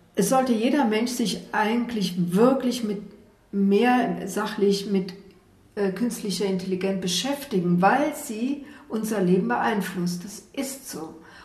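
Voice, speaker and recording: A woman talks very slowly, with audible room echo and noticeable background noise around her. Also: medium pitch for a woman, ordinary pitch variation. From Saarland. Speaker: amateur actor. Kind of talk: testimony.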